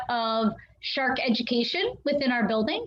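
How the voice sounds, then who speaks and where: A woman speaks loudly. Her pace is moderate. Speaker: aquarium educator. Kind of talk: live stream Q&A. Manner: hesitant with many fillers.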